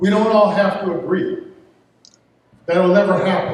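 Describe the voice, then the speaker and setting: A man with an American accent talks at a moderate pace, and audible room echo surrounds his voice. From Detroit, US Midwest. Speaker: town councilman. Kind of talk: campaign speech at candidate forum. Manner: halting, repeats words.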